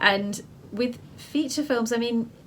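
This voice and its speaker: With a British accent, a woman speaks at a fairly high pitch. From England. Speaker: filmmaker and photographer. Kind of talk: interview.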